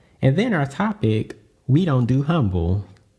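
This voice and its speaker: A man speaks with a Southern US accent at a moderate pace. His tone is dark and mellow, at a medium pitch. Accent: Southern US, sounds very country. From US Deep South. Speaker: podcast host. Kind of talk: solo podcast monologue. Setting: home podcast setup hearing own voice. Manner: casual, filler-heavy with frequent 'um'.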